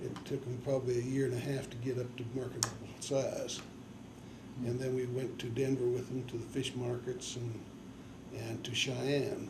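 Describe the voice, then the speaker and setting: Speaking with an American accent at a medium pitch and moderate pace, a man uses monotone, flat intonation, with audible room echo and noticeable background noise. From Nebraska and northern Colorado, US. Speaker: farmer and army veteran interviewee. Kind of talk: oral history interview. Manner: halting, with many fillers.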